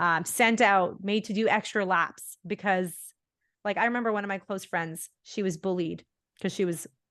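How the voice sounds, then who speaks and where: Against a quiet background, a woman with a plain, everyday voice speaks at a medium pitch with fairly even intonation. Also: moderate pace. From India, then Bahrain and Canada. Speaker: podcast host. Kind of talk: casual interview conversation.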